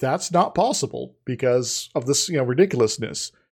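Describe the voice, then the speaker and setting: A man with a somewhat breathy voice. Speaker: podcast co-host. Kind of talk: casual chat. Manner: halting.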